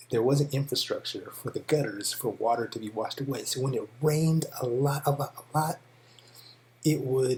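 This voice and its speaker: A man's fairly high, somewhat breathy voice with an American accent, fairly even intonation and a moderate pace. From California. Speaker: English teacher. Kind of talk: tutorial. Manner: casual with many fillers.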